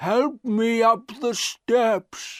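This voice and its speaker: A put-on character voice at a fairly high pitch comes through on a very clean recording with a silent background. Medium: read story. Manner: slow, halting.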